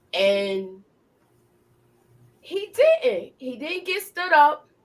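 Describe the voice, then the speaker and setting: The tone is animated, with very wide pitch swings. It comes with a New York accent. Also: woman. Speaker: YouTube TV show reviewer. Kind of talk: live discussion.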